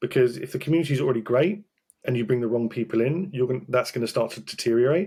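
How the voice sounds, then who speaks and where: Very fast and somewhat breathy, a man of medium pitch talks with lively intonation. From Britain. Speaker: talent acquisition specialist. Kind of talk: podcast interview. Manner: animated.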